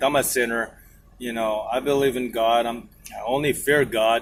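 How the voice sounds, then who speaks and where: Speaking in a Filipino accent, a man at a medium pitch keeps his intonation fairly even. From Philippines. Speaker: truck driver vlogger. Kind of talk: casual vlog monologue. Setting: inside truck cab. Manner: rambling, hesitant.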